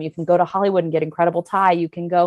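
Against a quiet background, a woman with an American accent speaks in a fairly low pitch with a dark, mellow tone. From US Maryland. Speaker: actress. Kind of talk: casual chat.

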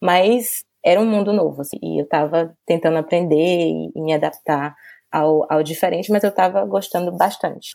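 Against a very clean, silent background, a woman with a fairly low pitch and a dark, mellow tone speaks with lively intonation. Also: moderate pace. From Brazil, Salvador, Bahia. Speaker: journalist and publicist. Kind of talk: casual interview chat.

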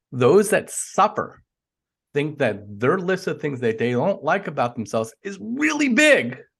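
Against a quiet background, a somewhat breathy man speaks fairly slowly with very wide swings in pitch. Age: 40s. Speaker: life coach. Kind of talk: casual interview chat.

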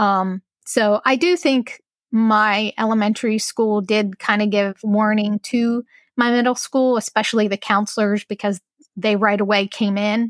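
A woman in an ordinary speaking voice, fairly high-pitched and fairly slow, with fairly even intonation and very even loudness, dry and close with no echo. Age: 40s. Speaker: abuse survivor. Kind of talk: casual chat.

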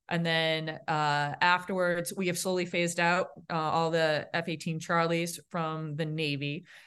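At a fairly slow pace and with hardly any pauses, a woman in a Boston accent speaks in a fairly low pitch with monotone, flat intonation over a quiet background. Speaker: naval aviator officer. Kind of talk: casual interview.

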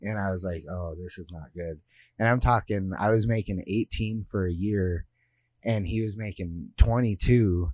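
In an ordinary speaking voice with an American accent, a man speaks fairly slowly at a fairly low pitch, with fairly even intonation and big swings in loudness, on a very clean recording with a silent background. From US West (Lake Tahoe, California). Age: 30s. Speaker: strongman athlete and gym owner. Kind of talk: casual interview. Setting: gym facility.

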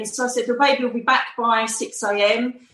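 With an Essex accent, a woman speaks at a fairly high pitch amid noticeable background noise. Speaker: psychic medium and former police detective. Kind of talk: interview. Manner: animated.

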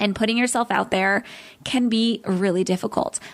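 Her voice is fairly high-pitched, with an upbeat, warm tone and ordinary pitch variation. The woman is recorded very cleanly against a silent background. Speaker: podcast host and travel business coach. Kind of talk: solo podcast talk. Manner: fast talker; upbeat, warm, animated.

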